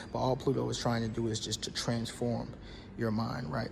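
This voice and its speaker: Noticeable background noise and audible room echo surround a man speaking in a medium pitch with monotone, flat intonation. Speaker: astrology content creator. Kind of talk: casual explainer monologue. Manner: fast; halting, many fillers and restarts.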